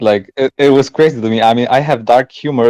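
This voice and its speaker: Speaking with a non-native accent, a man of medium pitch moves at a fairly quick pace with fairly even intonation in a dry, close sound with no echo. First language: not English. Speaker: shuffle dancer. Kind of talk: casual chat.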